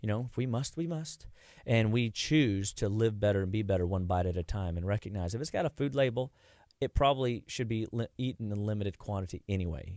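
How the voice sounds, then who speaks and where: With an unremarkable speaking voice, a man talks at a fairly quick pace in a fairly low pitch with ordinary pitch variation on a very clean recording with a silent background. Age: 40s. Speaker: clinical nutrition doctor. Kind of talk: radio interview. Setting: studio.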